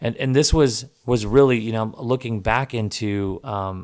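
The recording is very clean with a silent background. A man with a medium pitch talks at a moderate pace with ordinary pitch variation. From Texas, Dallas-Fort Worth area. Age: 30s. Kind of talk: personal storytelling monologue. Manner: halting, many repetitions and fillers.

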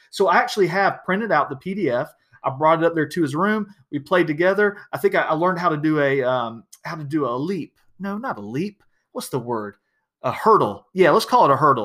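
An animated man with a Southern US accent talks at a fairly quick pace in a high, bright, sharp voice with very wide pitch swings. The recording is very clean, with a silent background. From US South, South Georgia. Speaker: podcast host, educational technology speaker. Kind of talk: casual solo podcast monologue.

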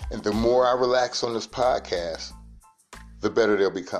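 A man speaking at a moderate pace over background music. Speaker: podcast host. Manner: soft-spoken, not loud.

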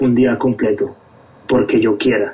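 A man speaks at a medium pitch while noticeable background noise runs underneath. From Colombia, Bogotá. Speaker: hardcore band musician. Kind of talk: casual interview chat.

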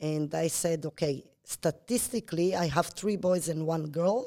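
A woman speaks at a very slow pace, her pitch fairly low and her pitch variation ordinary. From Israel. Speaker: entrepreneur. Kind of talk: interview. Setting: office.

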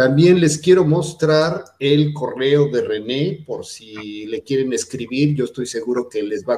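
Here a man talks at a fairly high pitch with ordinary pitch variation. His pace is very slow. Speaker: fashion magazine editor and interviewer. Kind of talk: interview.

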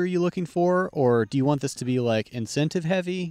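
With an American accent, a man speaks in an ordinary speaking voice at a moderate pace with lively intonation, in a very clean recording with a silent background and a dry, close sound with no echo. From Texas. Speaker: podcast host and disc golf player. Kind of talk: casual chat.

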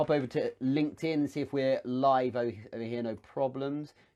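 A man with a British accent speaks in a dark, mellow tone. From UK. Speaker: business coach and show host. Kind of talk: live Q&A stream. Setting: livestream on social media.

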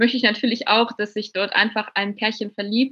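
Fairly high-pitched and monotone, a woman's flat delivery moves at a fairly quick pace. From Bavaria, near Munich. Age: 20s. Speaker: novelist. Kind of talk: interview.

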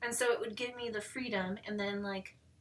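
A woman speaks at a fairly high pitch and a moderate pace. Her intonation is fairly even, with noticeable background noise behind her. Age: 40s. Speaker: photographer. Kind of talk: casual chat.

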